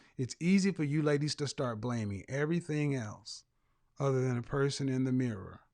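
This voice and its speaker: An unremarkable speaking voice moves at a fairly quick pace against a quiet background. Its pitch shifts in an ordinary way. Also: man. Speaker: image consultant and life coach. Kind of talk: call-in talk show host. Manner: blunt, confrontational.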